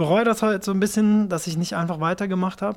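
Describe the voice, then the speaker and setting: A man talking very fast, high-pitched, with ordinary pitch variation. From Japan, then Swabia from age 11. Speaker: rapper. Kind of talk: interview.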